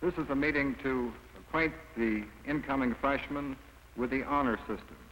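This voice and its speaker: A man with a fairly high pitch is heard against noticeable background noise. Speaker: newsreel narrator. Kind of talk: documentary narration.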